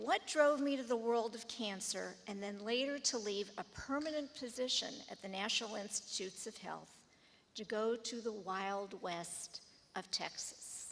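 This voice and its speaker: This woman has an ordinary speaking voice with an American accent and fairly high pitch. She talks at a fairly slow pace with ordinary pitch variation. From US Midwest, Shaker Heights, Ohio. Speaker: pediatric oncologist, alumni honoree. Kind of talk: acceptance speech. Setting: school assembly with audience.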